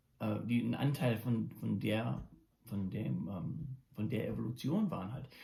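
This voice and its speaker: A man's lively intonation at a fairly slow pace. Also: medium pitch for a man. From Germany until 14, then USA. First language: English and German from childhood (speaking German). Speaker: musician and daily video blogger. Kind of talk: casual monologue vlog. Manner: halting, many fillers and restarts.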